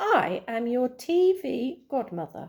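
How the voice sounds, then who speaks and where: Using a put-on character voice, a woman speaks at a high pitch and a fairly slow pace, with very wide pitch swings. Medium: read story.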